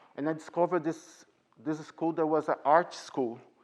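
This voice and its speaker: With a Portuguese accent, a man speaks at a fairly slow pace. His intonation is fairly even, and the background is quiet. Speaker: ballet teacher. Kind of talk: Q&A with parents.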